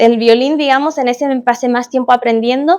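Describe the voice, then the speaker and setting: A woman with a Chilean accent and a high pitch speaks on a very clean recording with a silent background. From Chile, Concepción. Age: 20s. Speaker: musician. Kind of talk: casual chat. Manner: hesitant, many fillers.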